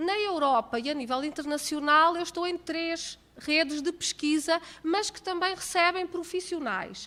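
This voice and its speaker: At a fairly slow pace, a woman projects a raised voice with a high pitch, a bright, sharp tone and lively intonation. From Portugal. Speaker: accounting professor. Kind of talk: lecture. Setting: conference hall, seated at table with microphone.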